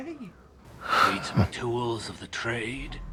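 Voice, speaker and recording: A man performs a cartoonish character voice over loud background noise. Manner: sly, salesy.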